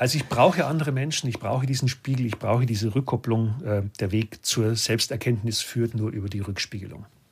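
A man talks at a fairly quick pace and a medium pitch, with hardly any pauses and ordinary pitch variation. His voice is somewhat breathy on a very clean recording with a silent background. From Lower Bavaria, Germany. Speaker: business coach and speaker. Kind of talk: casual interview chat. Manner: animated.

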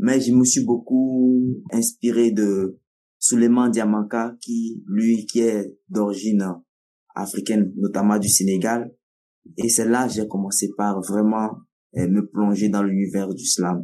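A man speaks very slowly in a fairly low voice with a dark, mellow tone. His intonation stays fairly even. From Togo. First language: Nawdm (speaking French). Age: 20s. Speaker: slam poet, storyteller, festival director. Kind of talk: interview.

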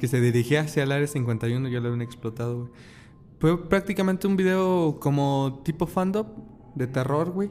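With a normal speaking voice, a man talks in a fairly high pitch with lively intonation. His pace is moderate. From Mexico. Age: 20s. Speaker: podcast host. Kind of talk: casual chat.

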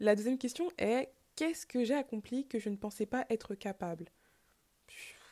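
Her tone comes across dark and mellow. This woman's voice sits high in pitch. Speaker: podcast host. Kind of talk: solo reflective talk. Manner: fast; halting.

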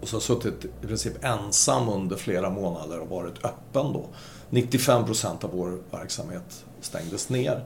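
A man speaks at a fairly slow pace with a fairly low pitch, vocal fry and lively intonation. Audible room echo colors the recording. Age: 60s. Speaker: shopping-centre property executive, former retailer. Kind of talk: podcast interview.

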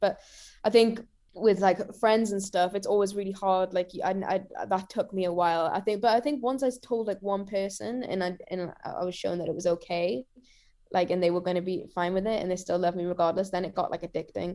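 A woman with a Geordie accent talks at a medium pitch and a very fast pace, her intonation fairly even. She leaves long, frequent pauses, and the recording is very clean with a silent background. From Newcastle, northeast England. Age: 20s. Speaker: singer-songwriter. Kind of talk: casual interview chat. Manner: halting, many fillers.

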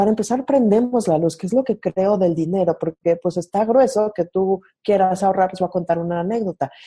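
A woman with a Mexico City accent speaks at a medium pitch in a dark, mellow, somewhat breathy tone, recorded dry and close with no echo. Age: 30s. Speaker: marketer and coach. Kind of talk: casual interview. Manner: animated.

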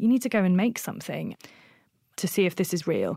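Recorded very cleanly against a silent background, a woman speaks in a plain, everyday voice with ordinary pitch variation. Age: 30s. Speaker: fashion brand founder. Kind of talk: interview.

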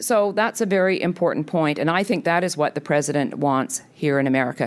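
Using a normal speaking voice, a woman talks at a fairly quick pace with a fairly low pitch and lively intonation. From Canada. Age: 50s. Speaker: think tank president. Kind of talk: speech. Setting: stage with audience.

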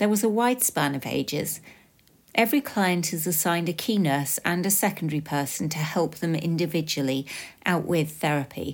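A woman speaks at a very deep, low pitch with ordinary pitch variation. The recording is very clean, with a silent background. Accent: British. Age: 40s. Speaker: podcast host sharing lived experience. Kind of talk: scripted personal narration.

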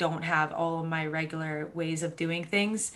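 Speaking at a moderate pace with an American accent, a woman has a fairly low pitch and monotone, flat intonation. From US Northeast, Boston, Massachusetts. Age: 20s. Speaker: mental health advocate. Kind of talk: casual interview chat.

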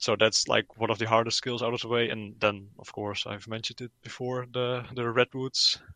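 In a Dutch accent, a man speaks at a moderate pace and medium pitch, his intonation flat and monotone, his tone bright and sharp, the sound dry and close with no echo. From Netherlands. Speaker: gaming YouTuber. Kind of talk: casual interview.

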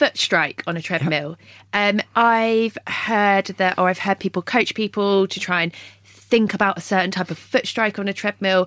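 In a very clean recording with a silent background and a dry, close sound without echo, a woman speaks with a British accent. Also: medium pitch for a woman, moderate pace. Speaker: podcast host and runner. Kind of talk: interview, upbeat podcast hosting. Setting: studio. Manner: bright, friendly, enthusiastic.

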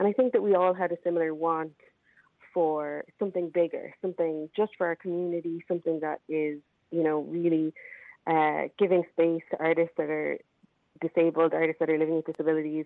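A woman talks in an Irish accent at a fairly quick pace. Her pitch is fairly low and her intonation fairly even. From Ireland. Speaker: arts festival organiser. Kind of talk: interview. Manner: halting, many fillers.

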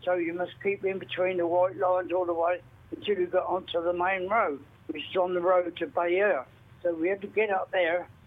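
A man talks at a moderate pace in a high voice. His intonation is monotone and flat. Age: 90s. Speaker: World War II veteran. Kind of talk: testimony.

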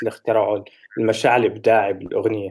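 A man speaks in a dark, mellow tone. The recording is very clean, with a silent background. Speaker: podcast co-host. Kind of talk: casual chat about music.

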